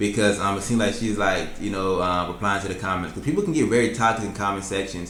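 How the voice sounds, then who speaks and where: A man with a fairly low pitch talks at a very fast pace with hardly any pauses and fairly even intonation. Background noise is noticeable. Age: 20s. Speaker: YouTuber reacting to videos. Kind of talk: reaction commentary.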